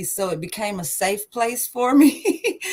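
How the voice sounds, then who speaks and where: A woman with an East Texas accent. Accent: Southern US (East Texas). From East Texas (Liberty, near Houston). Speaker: singer, military veteran. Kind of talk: interview.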